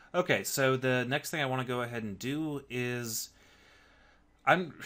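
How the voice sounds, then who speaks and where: A bright, sharp voice at a moderate pace on a very clean recording with a silent background. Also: man, medium pitch for a man, ordinary pitch variation. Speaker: programming instructor. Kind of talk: tutorial. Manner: casual, with filler words.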